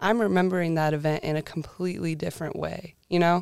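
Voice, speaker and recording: A fairly low female voice with an American accent and fairly even intonation. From northern California, small mountain town. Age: 20s. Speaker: college student intern. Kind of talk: casual interview chat.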